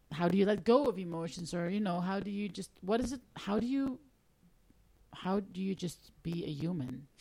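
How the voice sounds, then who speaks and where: Somewhat breathy female voice at medium pitch, moderate pace and lively intonation. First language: Dutch. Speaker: singer-songwriter and music teacher. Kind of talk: casual interview. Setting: radio studio.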